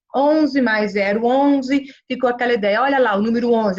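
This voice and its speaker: A woman speaks at a moderate pace with a fairly high pitch. Her pitch varies an ordinary amount. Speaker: lecturer. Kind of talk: lecture. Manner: halting, with many fillers.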